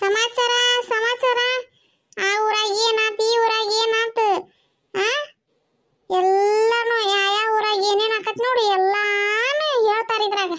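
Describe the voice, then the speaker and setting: A woman's squeaky, cartoonish character voice at an extremely high pitch, very slow in pace and very even in loudness. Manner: eager, chatty.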